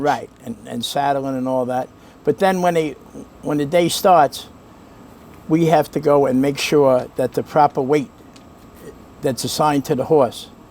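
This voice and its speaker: A man with a Brooklyn accent, fairly high in pitch, fairly even in intonation, at a fairly slow pace with long, frequent pauses. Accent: Brooklyn New York. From New York. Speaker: racetrack valet. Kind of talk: interview answer.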